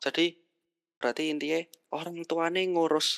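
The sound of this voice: Recorded very cleanly against a silent background, a woman with a fairly low pitch sounds dry and close, with no echo.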